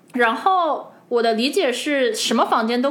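A woman's voice with audible room echo. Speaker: podcast co-host. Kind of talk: casual chat. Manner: animated.

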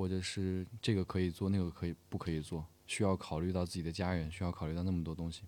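A man speaks at a fairly quick pace with a very deep, low pitch and a dark, mellow tone. His intonation is fairly even, and the recording is very clean with a silent background. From northwest China. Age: 20s. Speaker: stage actor. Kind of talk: interview.

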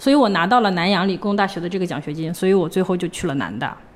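A woman talks at a medium pitch with a Hebei accent. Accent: Hebei accent, close to Tianjin intonation. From northern China, Hebei (Hengshui). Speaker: former scholarship student, finance professional. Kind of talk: interview conversation. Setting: at home.

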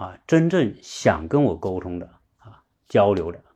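Very slowly, a man with a fairly low pitch and a dark, mellow tone speaks with very wide pitch swings. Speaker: podcast livestream host. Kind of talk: livestream monologue. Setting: online livestream with listeners. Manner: halting, many fillers.

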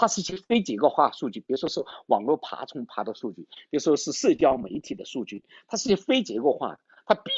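With vocal fry and very wide swings in pitch, a man speaks at a fairly quick pace. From China, Changsha, Hunan. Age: 50s. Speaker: tech startup founder and CEO. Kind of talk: interview, casual conversation. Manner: hesitant, many fillers.

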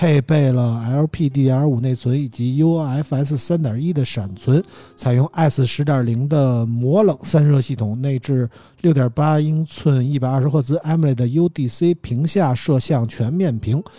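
The man's voice is fairly high, somewhat breathy and dark, mellow in tone. He talks at a very slow pace with ordinary pitch variation. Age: 40s. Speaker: podcast host. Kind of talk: casual chat; reading out phone specs.

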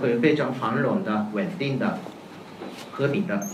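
Audible room echo and noticeable background noise surround a fairly slow voice with a Japanese accent. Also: man. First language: Japanese (speaking Chinese). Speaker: professor. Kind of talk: academic panel talk. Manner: halting.

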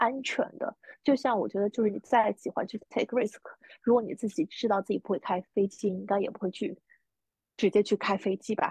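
A woman's somewhat breathy voice moves at a fairly quick pace with a dry, close sound and no echo. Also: fairly high pitch for a woman, ordinary pitch variation. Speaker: podcast co-host, freelancer. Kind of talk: casual chat.

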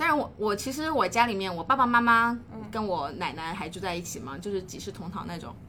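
A woman at medium pitch talks at a very fast pace with very wide pitch swings, and the room echo is audible. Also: big swings in loudness. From China, Hunan (Xiangtan). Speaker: life coach. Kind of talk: casual interview chat.

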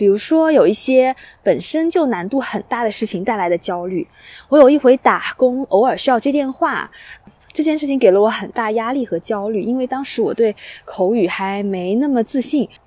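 Her voice is high, with a dark, mellow tone and lively intonation, at a moderate pace. The woman's recording sounds dry and close, without echo. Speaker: podcast host. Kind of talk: solo monologue. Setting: outdoors by a lake.

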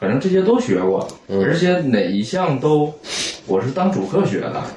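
Over noticeable background noise, a man with a strong Northeastern Chinese accent speaks at a fairly slow pace, his pitch swinging very widely. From Northeast China, Anshan. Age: 30s. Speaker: painter. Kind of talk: casual interview chat. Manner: shy, hesitant.

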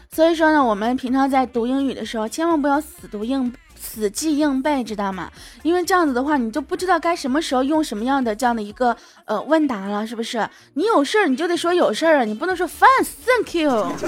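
With an animated tone and lively intonation, the voice moves at a fairly quick pace. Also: woman, high pitch for a woman. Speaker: podcast host. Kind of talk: casual comedic monologue. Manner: animated, frequent laughter.

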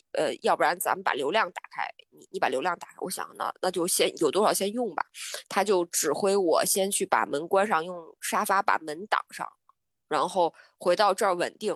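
An ordinary speaking voice from a woman, medium in pitch, at a moderate pace with ordinary pitch variation and a dry, close sound with no echo. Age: 30s. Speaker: travel planner. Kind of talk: casual chat.

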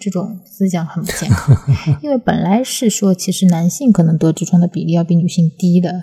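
Quiet speech comes at a moderate pace with hardly any pauses, ordinary pitch variation, and noticeable background noise. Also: woman, fairly low pitch for a woman. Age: middle-aged. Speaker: podcast host. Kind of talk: casual chat. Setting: home recording studio with baby present. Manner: hushed, speaking quietly.

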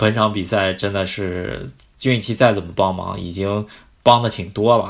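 On a very clean recording with a silent background, a man with a fairly low pitch speaks at a fairly slow pace with fairly even intonation. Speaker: football podcast host. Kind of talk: casual chat.

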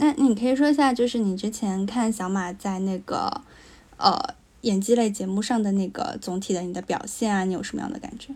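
A woman with a normal speaking voice, fairly high in pitch, talks at a fairly quick pace with ordinary pitch variation. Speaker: podcast co-host. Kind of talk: casual chat.

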